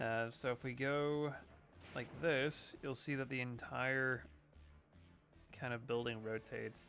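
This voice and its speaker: Over noticeable background noise, a man talks in a medium pitch with fairly even intonation. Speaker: gaming streamer. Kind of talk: game stream commentary.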